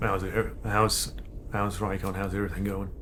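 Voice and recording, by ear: A man puts on a gravelly character voice, fairly low in pitch, at a moderate pace. Noticeable background noise runs underneath.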